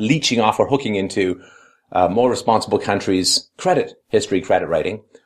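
An unforced reading voice is heard against a quiet background.

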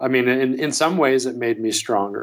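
Medium pitch and ordinary pitch variation in a man's voice. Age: 30s. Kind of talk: emotional personal call. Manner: halting, hesitant.

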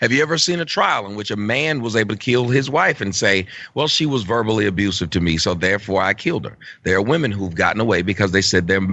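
Lively in intonation and very fast in pace, a man speaks with a fairly low pitch. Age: 40s. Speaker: internet talk show host and social commentator. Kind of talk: casual chat. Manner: animated.

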